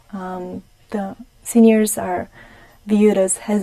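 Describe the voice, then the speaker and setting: With a Romanian accent, this woman has a medium-pitched voice, a dark, mellow tone and fairly even intonation. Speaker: gerontologist. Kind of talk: TV interview. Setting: TV studio.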